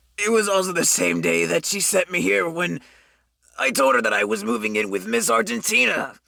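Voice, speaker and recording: In a put-on character voice with a nervous tone, the speaker goes at a fairly quick pace, pitched low-to-middle but swinging very widely. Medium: audio drama. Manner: stammering, nervous.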